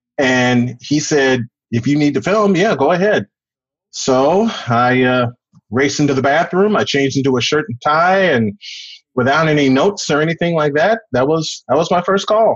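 An unremarkable speaking voice from a man with an American accent, fairly high in pitch, with lively intonation, very even loudness and a moderate pace. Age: 40s. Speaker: sports announcer and podcast host. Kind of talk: interview.

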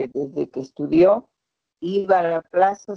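A woman talks at a very slow pace in a fairly low voice. Her pitch swings very widely. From Peru, Pucallpa (Amazon region). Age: 70s. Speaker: victim's mother and human rights activist. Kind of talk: testimony. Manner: halting.

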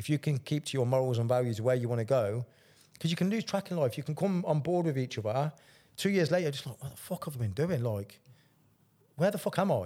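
Somewhat breathy and dark, mellow in tone, a man speaks at a very fast pace with a fairly high pitch and lively intonation. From England, council estate. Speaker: life coach and ex-soldier. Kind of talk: casual chat.

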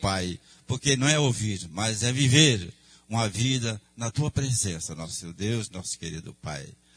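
A man talks with lively intonation. His voice has a somewhat breathy quality. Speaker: church member. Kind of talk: prayer.

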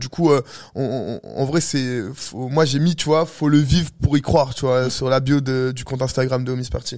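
A man with an unremarkable speaking voice talks at medium pitch and a moderate pace, with fairly even intonation. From Algeria (heritage), raised in Paris. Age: 20s. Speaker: DJ and photographer. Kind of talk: casual interview.

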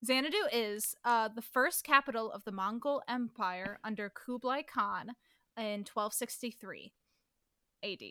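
An American-accented woman speaks at a fairly slow pace in a bright, sharp tone, with a fairly high pitch and ordinary pitch variation. Her loudness swings widely in a dry, close sound with no echo. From US Midwest. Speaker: podcast co-host. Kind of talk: casual chat.

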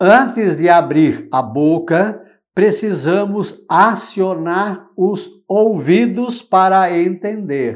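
On a very clean recording with a silent background, a man speaks at a very slow pace with hardly any pauses. His pitch is high and his intonation lively. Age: 60s. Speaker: religious commentator. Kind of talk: gospel reflection. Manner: informal, conversational.

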